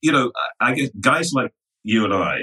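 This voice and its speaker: The man's bright, sharp voice moves at a fairly slow pace, and the sound is dry and close with no echo. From England, London. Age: 60s. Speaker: finance executive. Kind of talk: interview.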